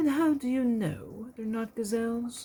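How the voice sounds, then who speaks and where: A female-sounding voice puts on a character voice at a fairly high pitch. The pace is moderate. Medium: read story. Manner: patient, gently instructive.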